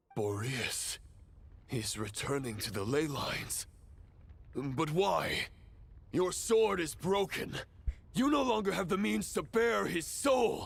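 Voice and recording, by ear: In a put-on character voice, a man speaks slowly with fairly high pitch, vocal fry, lively intonation and long, frequent pauses.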